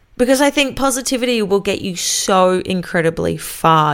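On a very clean recording with a silent background, a woman with an Australian accent speaks at a moderate pace in an upbeat tone. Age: 20s. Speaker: radio announcer and podcaster. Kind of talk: solo podcast monologue. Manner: casual, upbeat.

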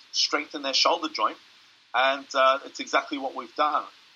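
A man with an Australian accent, talking at a fairly quick pace. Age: 30s. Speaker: strength coach and powerlifter. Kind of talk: casual interview.

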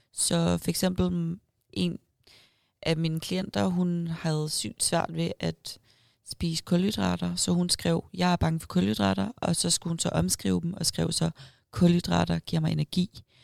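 The recording is very clean, with a silent background and a dry, close sound with no echo, as a woman speaks at a fairly slow pace. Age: 20s. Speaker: bikini fitness athlete and online coach. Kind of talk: casual interview. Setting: event room at a restaurant.

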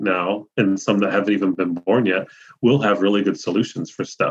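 A man speaks in a normal speaking voice with a fairly low pitch. His pitch varies in an ordinary way. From Ohio. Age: 50s. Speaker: mycologist and magazine editor. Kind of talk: interview.

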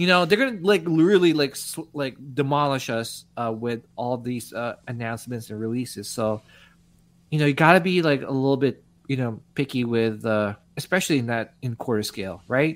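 In a normal speaking voice, a man talks at a moderate pace with medium pitch and lively intonation. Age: 40s. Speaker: podcast host. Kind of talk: casual chat.

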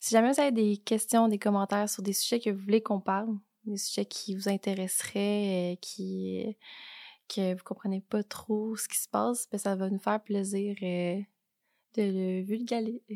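A woman talks at medium pitch and a fairly slow pace, with fairly even intonation. Her tone is dark and mellow, and the sound is dry and close with no echo. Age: 20s. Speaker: real estate broker. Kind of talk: casual chat.

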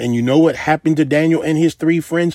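This man's voice sits fairly high, with ordinary pitch variation. The sound is dry and close with no echo, on a very clean recording with a silent background. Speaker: preacher. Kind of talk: sermon. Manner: unscripted, not a hooper or hollerer.

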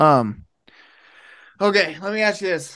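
Pitch swings very widely in this man's speech. He speaks with an American accent. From Ohio. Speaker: podcast host. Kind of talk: casual interview. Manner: casual, laid-back.

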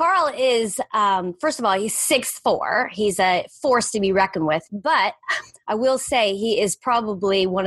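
A woman speaks at medium pitch. Hers is an ordinary speaking voice. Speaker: podcast host. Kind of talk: interview chat.

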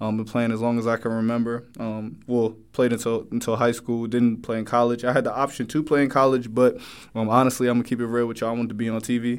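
A man with an American accent at medium pitch, very fast and flat in a monotone, with hardly any pauses. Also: very clean recording, silent background. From New Jersey. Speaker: sports podcast host. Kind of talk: casual podcast introduction. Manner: casual, filler-heavy.

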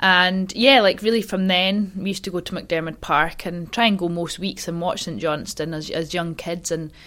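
Speaking with a Scottish accent, a woman has a bright, sharp tone and medium pitch. Her intonation is fairly even, and she keeps a moderate pace with hardly any pauses. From Scotland, Highland Perthshire. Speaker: curler, athlete. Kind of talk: casual chat.

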